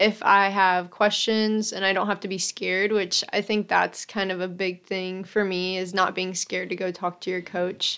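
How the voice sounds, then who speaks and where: A woman speaks in a normal speaking voice at medium pitch and a moderate pace against a quiet background. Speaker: college soccer player. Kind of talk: casual interview.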